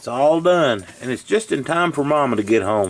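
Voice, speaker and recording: Lively intonation in a Southern US accent, at a fairly slow pace. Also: man. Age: 60s. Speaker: cooking channel host. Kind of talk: cooking tutorial. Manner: casual folksy.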